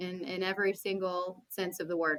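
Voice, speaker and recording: In a Texan accent, a woman of medium pitch speaks with a bright, sharp tone. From Central Texas, small town. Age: 30s. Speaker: podcast guest. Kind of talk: casual chat.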